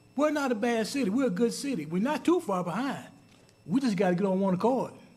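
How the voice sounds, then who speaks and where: Talking very fast at a high pitch with lively intonation, a man is heard with audible room echo. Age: 60s. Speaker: city council member. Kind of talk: council meeting speech. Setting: city council chamber. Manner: halting, repeats words.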